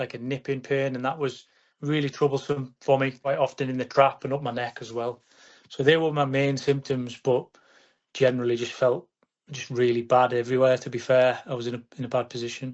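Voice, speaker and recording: With a northern English accent, a man of medium pitch talks at a fairly quick pace in a flat, monotone delivery. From northern England. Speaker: patient. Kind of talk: testimony. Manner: halting.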